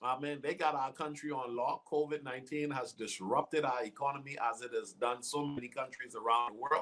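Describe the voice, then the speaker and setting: This man speaks with a slight Bahamian accent at a moderate pace. His pitch is fairly high. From Bahamas, Nassau. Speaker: guest speaker. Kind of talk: interview.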